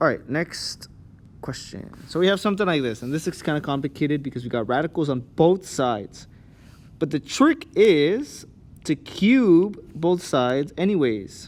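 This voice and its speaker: On a very clean recording with a silent background, a man with an unremarkable speaking voice talks at a moderate pace, fairly high-pitched, with lively intonation. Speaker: math teacher. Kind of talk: tutorial. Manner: casual.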